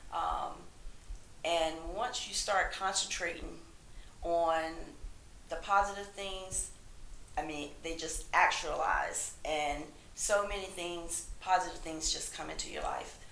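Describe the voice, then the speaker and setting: A woman with an American accent speaks at a very slow pace, with long, frequent pauses. Audible room echo surrounds her voice. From rural North Carolina. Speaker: health coach. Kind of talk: interview.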